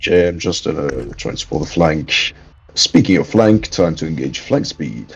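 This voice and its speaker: With lively intonation and a moderate pace, a man talks in a very deep, low pitch. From France. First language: French. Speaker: gamer in voice chat. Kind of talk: casual chat.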